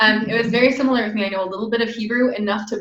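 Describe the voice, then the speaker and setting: A woman with an American accent and fairly high pitch talks at a very fast pace with ordinary pitch variation, noticeable background noise behind her. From United States. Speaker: podcast host. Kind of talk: interview. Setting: video call.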